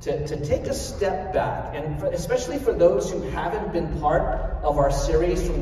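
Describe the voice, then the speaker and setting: A man's moderately paced speech, light background noise and audible room echo around it. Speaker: pastor. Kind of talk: sermon. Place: hall.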